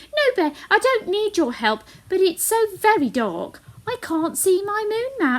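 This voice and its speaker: Squeaky and raised to project, this put-on character voice moves at a moderate pace with very wide pitch swings. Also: woman, extremely high pitch for a woman. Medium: read story. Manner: small, anxious.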